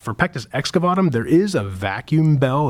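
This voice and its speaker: On a very clean recording with a silent background, a man with an American accent talks at a moderate pace with ordinary pitch variation in an unremarkable speaking voice. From Pittsburgh, Pennsylvania. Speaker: pediatric surgeon. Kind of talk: medical interview.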